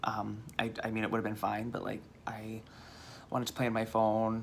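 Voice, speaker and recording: Audible room echo surrounds a man with an American accent who speaks fairly quickly in a fairly low voice. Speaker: vlogger. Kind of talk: casual chat. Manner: animated.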